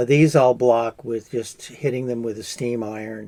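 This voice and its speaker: Speaking with an American accent, a man uses a medium pitch and a dark, mellow tone. His pace is fairly slow and his intonation fairly even. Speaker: crochet artist. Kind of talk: crafting tutorial. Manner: casual, hesitant with fillers.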